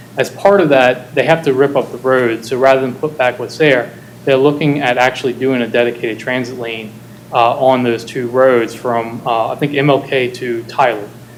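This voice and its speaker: Moving at a moderate pace, a man speaks with fairly even intonation. Noticeable background noise runs behind him. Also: medium pitch for a man. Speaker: city transportation planner. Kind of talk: presentation at board meeting. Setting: boardroom meeting, hybrid. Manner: halting, many fillers.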